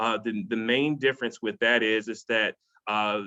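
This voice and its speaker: A man speaks with ordinary pitch variation. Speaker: college athletics eligibility presenter. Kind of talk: webinar presentation. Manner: fast; halting, many repetitions.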